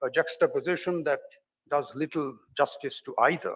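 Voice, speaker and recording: A man speaks at a moderate pace in an Indian accent. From India (Delhi). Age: 60s. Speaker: novelist. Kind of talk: lecture. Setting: open-air theatre with audience.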